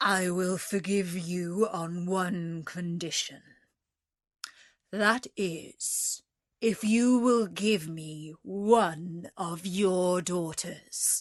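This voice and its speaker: Against a quiet background, a woman uses a put-on character voice at a very slow pace and medium pitch. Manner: softened, bargaining.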